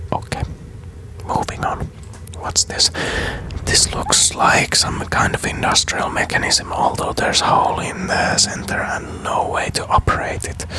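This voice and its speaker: Whispering, a man speaks at a fairly slow pace. Noticeable background noise fills the recording. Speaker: gaming YouTuber. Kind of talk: ASMR let's play gaming commentary. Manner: casual, hesitant, thinking aloud.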